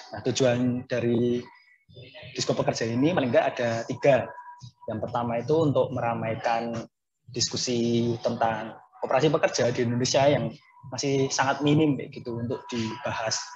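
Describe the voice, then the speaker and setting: Noticeable background noise sits under a man talking at a moderate pace with fairly even intonation. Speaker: host of online discussion series. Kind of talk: explanatory introduction. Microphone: video call.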